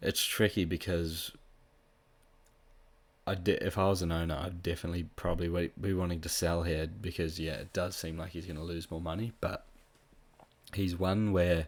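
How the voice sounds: Long, frequent pauses break up this man's speech. His pitch is low with little movement, and his pace is moderate.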